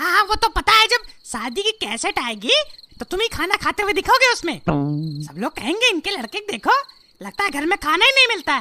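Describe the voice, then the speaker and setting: A put-on character voice, female-sounding and extremely high in pitch. It moves at a moderate pace. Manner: scolding, panicky shouting.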